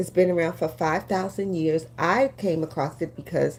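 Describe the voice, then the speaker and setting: At a moderate pace, a woman talks in a very deep, low pitch with vocal fry. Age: 60s. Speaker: beauty influencer, lash and brow business owner. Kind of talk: live-stream beauty tutorial. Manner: casual, with frequent fillers.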